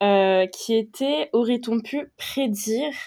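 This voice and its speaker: A woman speaks at a fairly high pitch in a dark, mellow tone with ordinary pitch variation. The recording is very clean and the background silent. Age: 20s. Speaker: podcast host, fashion debate. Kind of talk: casual discussion.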